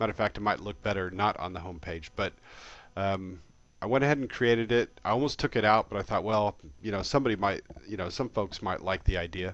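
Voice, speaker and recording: Against a quiet background, a man speaks at a very fast pace with a fairly low pitch and ordinary pitch variation. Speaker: software tutorial presenter. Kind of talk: screencast tutorial. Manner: hesitant, many fillers.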